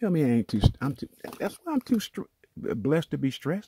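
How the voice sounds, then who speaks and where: At a fairly quick pace, a man speaks in a dark, mellow tone, captured dry and close with no echo in a very clean recording with a silent background. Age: 70s. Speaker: network marketer and vlogger. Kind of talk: casual vlog monologue. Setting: home office. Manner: halting, many restarts and fillers.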